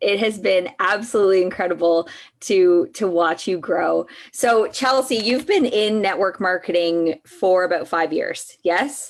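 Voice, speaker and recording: Here a woman has a plain, everyday voice at a medium pitch with ordinary pitch variation. She talks at a fairly slow pace and keeps her loudness very even. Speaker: network marketing coach hosting a live. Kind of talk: casual live-stream interview.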